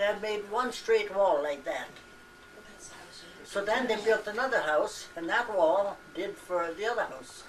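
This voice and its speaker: A woman of medium pitch speaks with lively intonation, with noticeable background noise and audible room echo. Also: fairly slow pace. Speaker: elderly relative interviewed about family history. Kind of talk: casual family reminiscence. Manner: halting.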